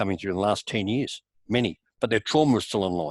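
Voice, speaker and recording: A man's fairly low voice at a very fast pace with ordinary pitch variation, dry and close with no echo, in a very clean recording with a silent background. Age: 70s. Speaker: alternative healer and course teacher. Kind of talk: interview.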